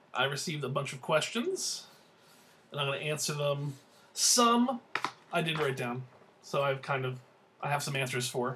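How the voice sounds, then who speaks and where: Mumbling with an American accent, a man speaks at a moderate pace and a fairly high pitch with ordinary variation, taking long, frequent pauses over noticeable background noise. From New Jersey. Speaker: vlogger. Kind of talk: casual monologue answering viewer questions.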